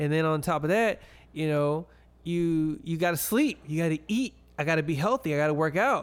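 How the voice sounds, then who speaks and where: Over a very clean recording with a silent background, a man uses a plain, everyday voice with a fairly high pitch, ordinary pitch variation, very even loudness and a moderate pace. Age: 20s. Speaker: podcast co-host. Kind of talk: casual chat.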